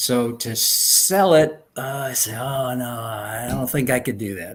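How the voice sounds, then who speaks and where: This man talks with a slight New York accent. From New York, Long Island. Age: 70s. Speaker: retired speech therapist and artist. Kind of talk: interview.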